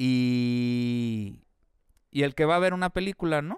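In a Mexican accent, a man of medium pitch speaks with lively intonation, the sound dry and close with no echo and the recording very clean against a silent background. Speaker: podcast co-host. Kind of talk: casual chat.

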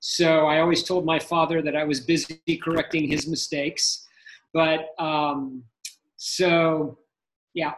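Very slowly and with long, frequent pauses, a man speaks in a fairly high, monotone, flat voice. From United States. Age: 50s. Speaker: sports photographer. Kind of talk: interview.

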